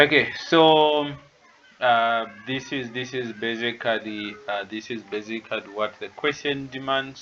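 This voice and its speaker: Talking at a fairly slow pace with a non-native accent, a man uses a medium-pitched voice with fairly even intonation and big swings in loudness. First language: not English. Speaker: tutor. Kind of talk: online lecture. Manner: hesitant, many fillers.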